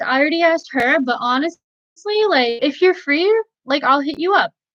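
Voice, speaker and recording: A woman with an American accent talks at a fairly quick pace. Her high pitch moves in very wide swings. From New Jersey. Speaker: political youtuber. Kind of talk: live stream chat. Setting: live stream on camera. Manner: halting.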